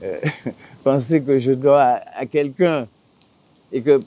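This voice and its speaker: This man's pitch is fairly high, his pitch variation ordinary, and his pace very slow. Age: 60s. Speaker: islander living off the land. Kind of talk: interview.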